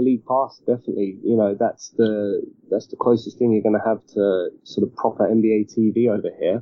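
A man speaks with a British accent at a moderate pace. His intonation is fairly even. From UK. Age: 30s. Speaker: basketball journalist. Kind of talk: casual interview chat.

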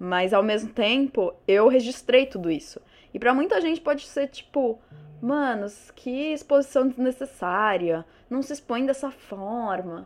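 Fairly slow, lively speech from a woman with a high pitch. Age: 20s. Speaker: podcaster and YouTuber. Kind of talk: solo casual monologue. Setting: alone at a microphone. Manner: animated, informal.

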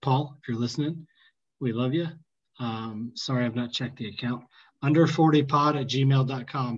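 Speaking with an American accent, a man has a somewhat breathy voice at a medium pitch. He keeps a moderate pace and fairly even intonation. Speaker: podcast host. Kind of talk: casual chat.

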